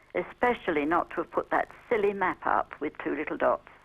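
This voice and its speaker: A woman speaks at a moderate pace in a Cockney accent. The sound is dry and close, with no echo. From London (Cockney). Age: 70s. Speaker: viewer. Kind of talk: viewer feedback.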